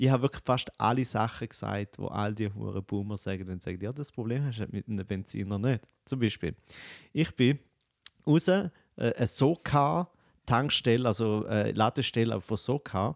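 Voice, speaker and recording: A man with a medium-pitched voice talks at a moderate pace in an animated tone with ordinary pitch variation, on a very clean recording with a silent background. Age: 30s. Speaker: comedian. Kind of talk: casual chat.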